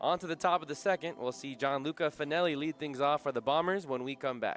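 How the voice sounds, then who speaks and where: Music plays in the background as a man with a fairly high pitch speaks at a moderate pace with ordinary pitch variation. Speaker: sports broadcaster. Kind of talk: baseball play-by-play commentary.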